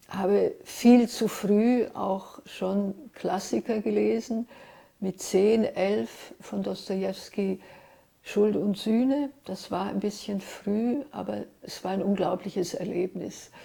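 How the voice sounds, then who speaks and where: A woman speaks very slowly at a medium pitch, her somewhat breathy voice dark and mellow in tone with fairly even intonation. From Switzerland, Zurich (early childhood Ljubljana, Trieste). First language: Hungarian (speaking German). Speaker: writer and literary translator. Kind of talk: interview, personal recollection.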